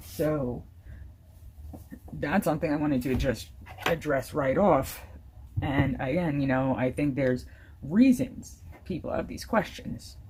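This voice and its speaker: Over noticeable background noise, a woman with a very deep, low pitch talks at a fairly slow pace with lively intonation and long, frequent pauses. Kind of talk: casual talk to camera.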